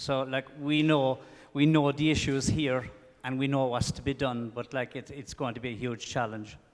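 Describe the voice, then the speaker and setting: This man has an Irish accent and a medium pitch. He speaks at a moderate pace with fairly even intonation. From Ireland. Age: 60s. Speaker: audience member. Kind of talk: audience question. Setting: lecture hall with audience.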